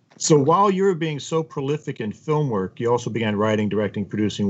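Lively intonation runs through a normal speaking voice delivered at a fairly quick pace. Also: man. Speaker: podcast host. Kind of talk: interview, scripted intro. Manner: formal, polished.

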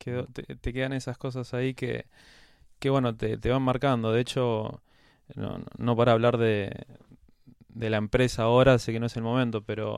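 On a very clean recording with a silent background, a man of medium pitch speaks at a moderate pace in a monotone, flat way with long, frequent pauses. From Argentina, Quilmes (Greater Buenos Aires). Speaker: pharmaceutical company CEO. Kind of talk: casual interview.

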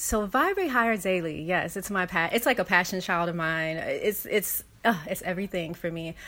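Her pitch medium and its variation ordinary, a woman talks at a moderate pace. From US West Coast, South Central Los Angeles. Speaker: writer and wellness platform founder. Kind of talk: casual interview chat.

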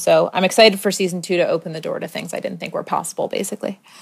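A woman with a fairly low voice and an American accent speaks with vocal fry. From US, Maryland. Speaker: podcast host. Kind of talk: personal monologue. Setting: home apartment, not studio.

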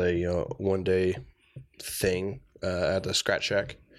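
A man with an American accent speaks fairly slowly in a very deep, low voice, his intonation fairly even. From Tucson, Arizona. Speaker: hip-hop festival organizer. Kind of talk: casual chat. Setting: studio.

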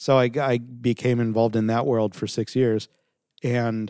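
A man with a Californian accent talks in a dark, mellow tone and a monotone, flat intonation. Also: very clean recording, silent background. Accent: Californian American. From Southern California. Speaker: video production company founder. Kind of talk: interview.

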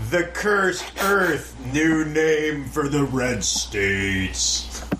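A man's put-on character voice at a very slow pace, with clear background noise. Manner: loud, bombastic, growling.

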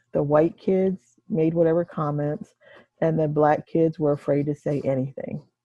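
In an American accent, a woman speaks at a moderate pace with a very deep, low pitch, a dark, mellow tone, and fairly even intonation, the sound dry and close with no echo. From Delaware / Maryland Eastern Shore. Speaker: retired teacher. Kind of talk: casual interview.

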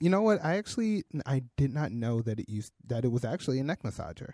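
Somewhat breathy and dark, mellow in tone, the voice has an American accent and very wide pitch swings at a fairly quick pace. The recording is very clean, with a silent background and a dry, close sound with no echo. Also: man. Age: 20s. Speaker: podcast co-host, designer and developer. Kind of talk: casual chat.

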